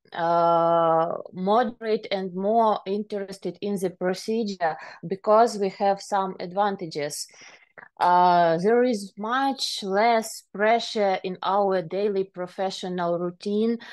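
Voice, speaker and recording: Speaking at a very slow pace against a quiet background, a woman with a Ukrainian accent has a medium pitch and fairly even intonation. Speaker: private enforcement officer. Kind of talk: conference talk. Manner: halting, many filler sounds.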